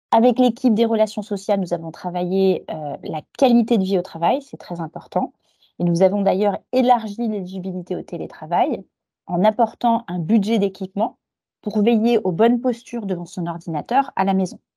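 The tone is dark and mellow, delivered at a moderate pace with ordinary pitch variation. It is a very clean, dry, close recording with no echo and a silent background. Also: woman, medium pitch for a woman. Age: 40s. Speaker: human resources director. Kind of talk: corporate interview.

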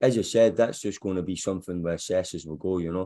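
Over a quiet background, a man with a Scottish accent speaks at a very deep, low pitch. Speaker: football head coach. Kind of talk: press conference.

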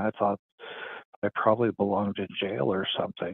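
Spoken with an American accent at a moderate pace, a plain, everyday voice keeps fairly even intonation. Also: man. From US, eastern Montana. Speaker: near-death experiencer. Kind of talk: testimony. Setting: phone call. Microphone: poor connection.

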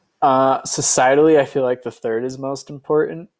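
In a very clean recording with a silent background, a man with a plain, everyday voice speaks at a moderate pace with fairly even intonation. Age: 20s. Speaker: venture capitalist. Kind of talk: interview. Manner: casual, many filler words.

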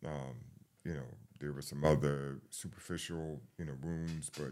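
Monotone and flat, a man with a New York accent speaks at a very deep, low pitch. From New York, the Bronx. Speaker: firefighter. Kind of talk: interview. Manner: halting.

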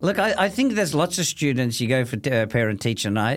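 A man's medium-pitched voice with vocal fry and very wide pitch swings, at a moderate pace, on a very clean recording with a silent background. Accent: Australian. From Australia, Melbourne (Thomastown). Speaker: businessman. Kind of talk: casual chat.

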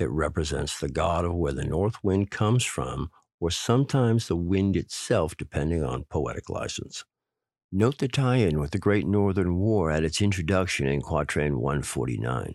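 Against a quiet background, a man with a very deep, low voice and vocal fry speaks at a moderate pace, his pitch swinging very widely. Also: dry, close sound with no echo. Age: 40s. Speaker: podcast host interpreting prophecies. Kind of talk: solo monologue with readings of verses.

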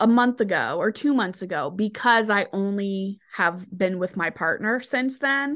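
Over a quiet background, a normal speaking voice moves at a fairly slow pace. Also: woman. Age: 20s. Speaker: podcast co-host, adult content creator. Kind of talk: casual chat.

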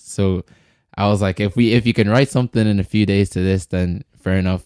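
In a very clean recording with a silent background and a dry, close sound with no echo, a man with an Irish accent talks at a moderate pace in a very deep, low voice with a dark, mellow tone. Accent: Irish (Louth). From Ireland, Dundalk, County Louth. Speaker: musician. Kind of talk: casual chat. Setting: studio.

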